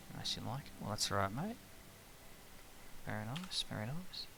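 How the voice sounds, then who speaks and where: A man with an Australian accent. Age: 30s. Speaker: gaming streamer. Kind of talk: casual chat while gaming.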